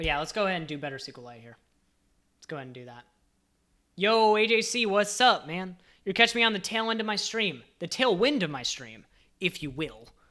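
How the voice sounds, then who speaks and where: The speaker has an animated tone and a fairly quick pace, with long, frequent pauses. The recording is very clean, with a silent background. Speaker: software developer streamer. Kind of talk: live coding stream. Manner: casual, animated.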